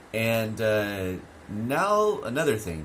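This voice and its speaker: A man speaks at a fairly low pitch with very wide pitch swings. His voice carries audible room echo. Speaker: English teacher. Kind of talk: online lesson. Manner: clear, careful speech; hesitant with many fillers.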